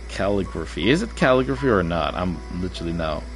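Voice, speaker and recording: A man speaks in a very deep, low voice at a moderate pace. The room echoes audibly, and music plays in the background. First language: Arabic. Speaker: game streamer. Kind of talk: casual gameplay livestream chat. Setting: livestream. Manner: casual, hesitant with fillers.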